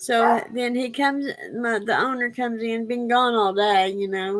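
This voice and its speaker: Ordinary pitch variation from a woman, her pace fairly slow. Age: 50s. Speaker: livestream host. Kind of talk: casual chat. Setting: live stream. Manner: halting.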